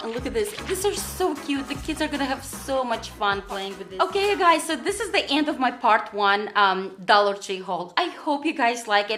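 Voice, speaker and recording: A woman speaks in an animated tone, her pitch swinging very widely. Noticeable background noise sits behind her. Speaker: haul vlogger. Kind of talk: casual product haul vlog. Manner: fast.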